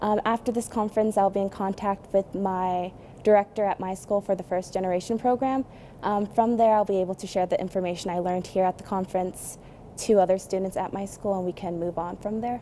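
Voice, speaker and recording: Moving at a fairly quick pace, a woman speaks in a dark, mellow tone at a medium pitch with fairly even intonation. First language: not English. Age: young. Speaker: university student. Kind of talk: interview. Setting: conference.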